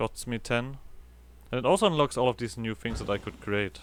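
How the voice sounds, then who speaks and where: Speaking at a moderate pace in a German accent, a man uses a medium pitch with ordinary pitch variation and vocal fry. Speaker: gaming video creator. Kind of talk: let's play commentary. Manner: halting.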